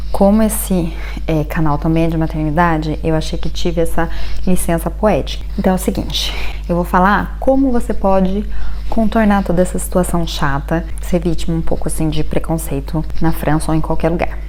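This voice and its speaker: Noticeable background noise and audible room echo, with very even loudness throughout. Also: woman, moderate pace. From Brazil. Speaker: vlogger. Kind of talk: casual vlog talk. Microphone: bad audio.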